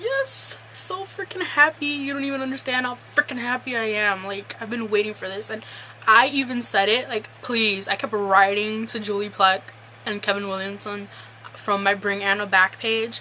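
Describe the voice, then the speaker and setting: Over noticeable background noise, a woman talks at a moderate pace, her fairly high pitch moving with ordinary variation. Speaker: TV show recap vlogger. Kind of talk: casual vlog recap.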